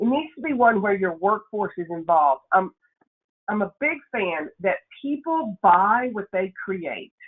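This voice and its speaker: A woman with a Nashville accent talks at a fairly slow pace. Her pitch swings very widely. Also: medium pitch for a woman. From Tennessee, Nashville. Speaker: workshop speaker, leadership consultant. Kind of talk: webinar presentation. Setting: webinar.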